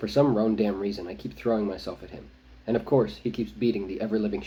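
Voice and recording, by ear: Someone is reading aloud in a natural voice.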